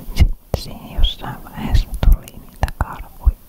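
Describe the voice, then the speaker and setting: Whispered words come at a very slow pace. Background noise is noticeable throughout. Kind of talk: ASMR whispered chat.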